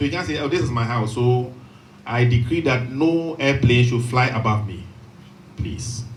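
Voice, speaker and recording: A man's voice comes through with noticeable background noise and an audible room echo. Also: medium pitch for a man, ordinary pitch variation. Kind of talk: lecture. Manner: slow, dictation pace; repeats for emphasis.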